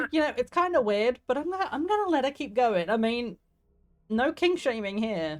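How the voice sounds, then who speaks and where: A woman talks at a moderate pace with a high pitch. Her pitch swings very widely. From southeast England. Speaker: streamer. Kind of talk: gameplay commentary. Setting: live stream. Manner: animated.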